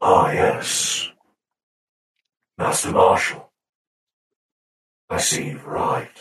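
Someone in a put-on character voice talks at a very slow pace with long, frequent pauses and a slight echo. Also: man. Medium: actual play. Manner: formal, cold, condescending.

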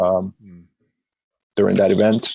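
The speaker is a man with a Spanish accent. He keeps to a moderate pace. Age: 30s. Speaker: jiu jitsu gym owner. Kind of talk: casual interview chat. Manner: conversational, hesitant with repeated words.

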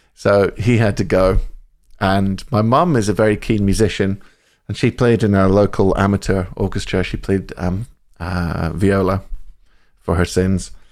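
A man speaks with a Scottish accent. His pitch sits fairly low. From central Scotland. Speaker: saxophonist. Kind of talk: interview. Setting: video call. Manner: animated, laughing often.

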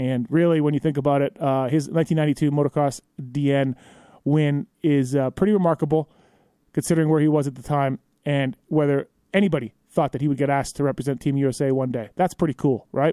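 Recorded dry and close with no echo, a man with an ordinary speaking voice talks at a fairly quick pace, his pitch fairly high and his intonation fairly even. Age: 40s. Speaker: podcast host. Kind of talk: casual interview. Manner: casual, filler-heavy.

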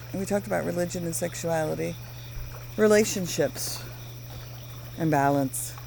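A woman speaks with long, frequent pauses. Noticeable background noise is present. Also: moderate pace. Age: 50s. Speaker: podcast co-host, former mental health worker. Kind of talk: casual chat. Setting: outdoors by a fire.

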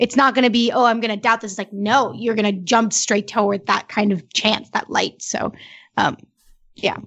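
A woman speaks in a plain, everyday voice, fairly high in pitch, with fairly even intonation. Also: moderate pace. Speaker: podcast co-host discussing the show. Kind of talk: casual podcast discussion.

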